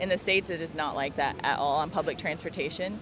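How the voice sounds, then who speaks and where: Amid noticeable background noise, a woman with an American accent speaks at a very fast pace and a fairly low pitch, with ordinary pitch variation. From US with Japanese mother, summers in Japan. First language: Japanese. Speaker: flight attendant. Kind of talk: casual chat.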